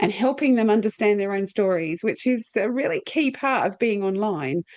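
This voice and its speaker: Lively intonation marks this woman's fairly high voice in an Australian accent. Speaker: podcast host. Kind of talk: casual interview chat.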